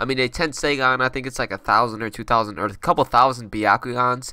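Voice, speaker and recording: A man with a medium-pitched, bright, sharp tone talks at a fairly quick pace in a very clean recording with a silent background. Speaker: anime video creator. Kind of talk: casual commentary. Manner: fast; casual, filler-heavy.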